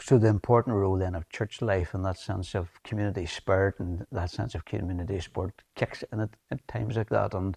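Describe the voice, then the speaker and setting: A man talks at a fairly quick pace with a fairly low pitch, a dark, mellow tone, somewhat breathy delivery and fairly even intonation. The sound is dry and close with no echo, over a quiet background. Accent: Northern Irish. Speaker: TV presenter. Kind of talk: interview. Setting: church.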